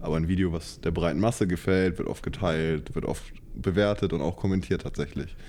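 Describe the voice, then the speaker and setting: The voice has a dark, mellow tone and ordinary pitch variation, moving at a fairly quick pace. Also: man, very deep, low pitch for a man. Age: 20s. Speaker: student. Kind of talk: casual chat.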